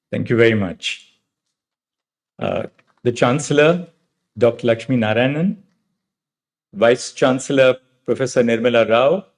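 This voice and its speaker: A man with an Indian accent speaks at a moderate pace and medium pitch, using ordinary pitch variation and long, frequent pauses. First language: Marathi. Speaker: judge. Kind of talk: convocation address. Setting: convocation hall with audience. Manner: formal.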